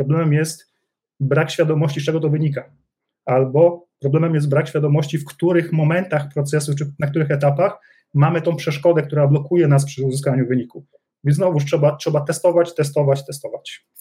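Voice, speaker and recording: Fairly quick and somewhat breathy, a man talks in a fairly high pitch with a dark, mellow tone and monotone, flat intonation. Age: 40s. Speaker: business executive. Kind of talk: interview.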